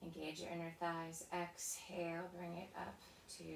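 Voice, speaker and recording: The tone is calm and gentle, and the pace is fairly slow. Noticeable background noise and audible room echo come through. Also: woman. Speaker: pilates and stretch instructor. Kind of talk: guided workout class. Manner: calm, gentle cueing; soft-spoken.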